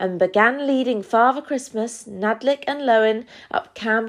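An unforced reading voice, nothing more

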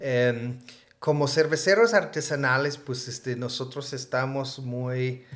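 His intonation is fairly even, at a medium pitch. The man delivers his words very slowly. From US Northeast (Vermont). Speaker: craft brewer. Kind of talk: casual interview.

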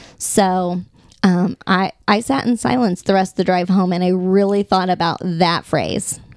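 A woman's medium-pitched voice, fairly slow and very even in loudness. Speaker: podcast host. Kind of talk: casual chat. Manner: animated, loud.

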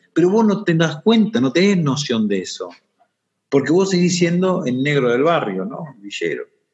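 A man with lively intonation speaks at a high pitch and a moderate pace. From Argentina, Buenos Aires area. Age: 30s. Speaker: social entrepreneur. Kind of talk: interview testimony.

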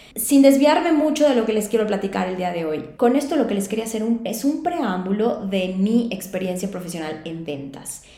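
A woman speaks at a moderate pace with an energetic tone and lively intonation. Noticeable background noise and audible room echo come through. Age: 30s. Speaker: sales and LinkedIn consultant, podcast host. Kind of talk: solo podcast monologue.

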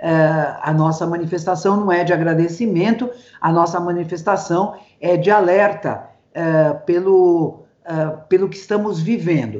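At a fairly slow pace, a normal speaking voice talks with ordinary pitch variation. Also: woman, fairly low pitch for a woman. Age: 60s. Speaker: social psychology professor. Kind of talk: casual interview. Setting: video call.

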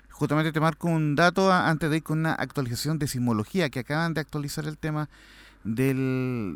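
A man with a normal speaking voice, fairly high in pitch, at a fairly quick pace with ordinary pitch variation, in a very clean recording with a silent background and a dry, close sound with no echo. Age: 40s. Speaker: sports radio producer. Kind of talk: casual chat. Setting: studio.

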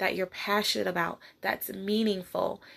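Against a silent background in a very clean recording, a woman talks at a medium pitch. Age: 30s. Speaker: podcast host, motivational speaker. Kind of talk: solo motivational talk.

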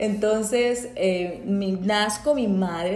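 With audible room echo and noticeable background noise, a woman speaks in an animated tone at a fairly high pitch. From Colombia, Bucaramanga, Santander. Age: 30s. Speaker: podcast host, psychologist. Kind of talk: casual faith-based monologue. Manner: spontaneous, animated.

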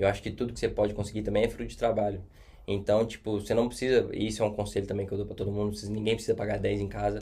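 Very fast speech in a Minas Gerais accent. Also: man. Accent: Brazilian Portuguese, mineiro. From Brazil, Minas Gerais (Contagem). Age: 20s. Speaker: hospitality and events worker abroad. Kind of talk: podcast interview.

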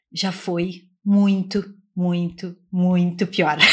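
Monotone, flat intonation comes through a somewhat breathy voice. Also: woman. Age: 30s. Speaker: podcast co-host, researcher. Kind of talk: casual academic discussion.

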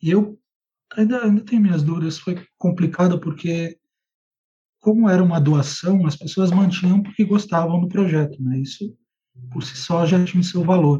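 A man's high-pitched voice with a dark, mellow tone, ordinary pitch variation, a moderate pace and long, frequent pauses. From Brazil, Rio Grande do Sul and Ceará. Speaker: political writer and editor. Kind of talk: interview.

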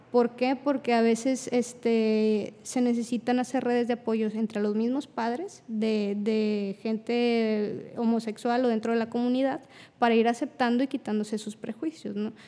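A woman with a dark, mellow tone speaks at a fairly high pitch in a monotone, flat way. Her pace is fairly slow, with hardly any pauses. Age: 20s. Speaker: clinical psychologist. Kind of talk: casual chat.

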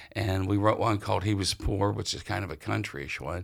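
In a very clean recording with a silent background, a man with an American accent speaks in an ordinary speaking voice. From western Pennsylvania, near Ohio border. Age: 60s. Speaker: musician and author. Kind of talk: interview. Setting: public library.

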